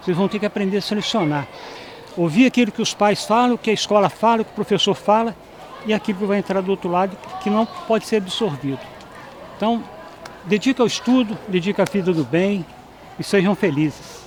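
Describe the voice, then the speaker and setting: A high-pitched man's voice with ordinary pitch variation and long, frequent pauses, over noticeable background noise. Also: fairly quick pace. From Brazil, Juiz de Fora, Minas Gerais. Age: 70s. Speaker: former student giving testimony. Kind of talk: testimony interview. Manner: halting, repeats words.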